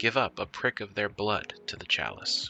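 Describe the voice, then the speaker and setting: Soft-spoken and fairly slow, a man talks with music in the background. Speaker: worldbuilding artist. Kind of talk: lore narration. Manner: soft-spoken, quiet.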